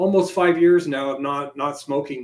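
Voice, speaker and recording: A man has an ordinary speaking voice. He talks at a moderate pace with fairly even intonation. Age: 60s. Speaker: ufologist. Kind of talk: interview.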